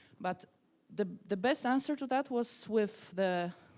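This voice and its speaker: This woman speaks at a moderate pace. Her intonation is lively. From Poland, small city. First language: Polish. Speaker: activist and protest leader. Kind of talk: interview. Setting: stage with audience. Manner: halting, self-correcting.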